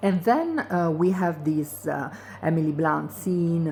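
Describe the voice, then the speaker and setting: Speech comes at a very slow pace in a non-native accent. The pitch varies in an ordinary way. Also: woman. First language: not English. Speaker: video blogger. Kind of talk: casual monologue commentary. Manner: hesitant, many fillers.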